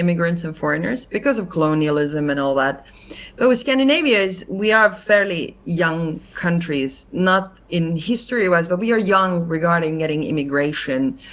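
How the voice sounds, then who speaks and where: A woman speaks at a moderate pace with a non-native accent. Her fairly low voice has lively intonation. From Finland. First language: not English. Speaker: actress and comedian. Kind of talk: casual interview chat.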